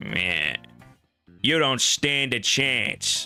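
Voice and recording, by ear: A man puts on a gruff, raspy character voice at a medium pitch. Faint music plays in the background.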